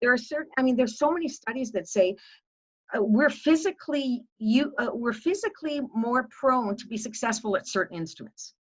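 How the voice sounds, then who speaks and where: A woman speaks with a high pitch and lively intonation. Her loudness swings widely. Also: fairly quick pace. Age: 60s. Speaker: music educator. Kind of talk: panel discussion.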